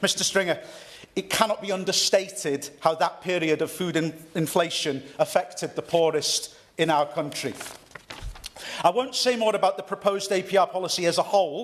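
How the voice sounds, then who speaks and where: A North East Welsh accent at a moderate pace, with ordinary pitch variation and noticeable background noise. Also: man, high pitch for a man. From North East Wales. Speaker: member of parliament. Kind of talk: parliamentary speech. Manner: formal; occasional stumbles.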